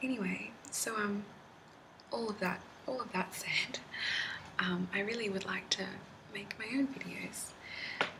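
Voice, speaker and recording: Whispering at a fairly slow pace with long, frequent pauses, a woman keeps a calm tone against noticeable background noise. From Australia. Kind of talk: casual talk to camera. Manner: soft-spoken, calm.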